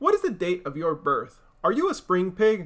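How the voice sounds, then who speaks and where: The speaker puts on a character voice at a moderate pace. The recording is very clean, and the background is silent. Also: man. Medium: read story.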